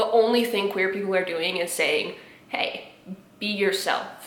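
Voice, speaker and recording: A woman speaks with ordinary pitch variation. The room echo is audible and the background noise is noticeable. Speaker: YouTuber reacting to memes. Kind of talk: casual commentary. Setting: home recording in apartment. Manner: animated.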